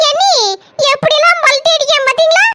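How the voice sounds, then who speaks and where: A cartoonish character voice from a woman, squeaky and extremely high-pitched, with very wide pitch swings and a fairly slow pace. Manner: chatty, conspiratorial.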